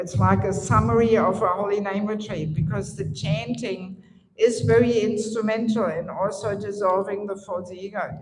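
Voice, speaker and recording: With vocal fry and a German accent, a woman speaks amid audible room echo. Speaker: spiritual teacher. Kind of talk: lecture.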